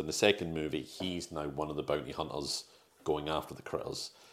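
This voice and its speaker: The man's voice is very deep and low, delivered in a flat monotone. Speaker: podcast host. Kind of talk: casual chat, movie review podcast.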